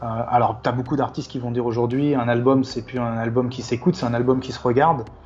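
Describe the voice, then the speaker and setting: The speech comes very fast with monotone, flat intonation. Noticeable background noise runs underneath. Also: man, medium pitch for a man. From Paris, France. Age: 50s. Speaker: hip-hop photographer. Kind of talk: casual interview chat. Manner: halting, many repetitions.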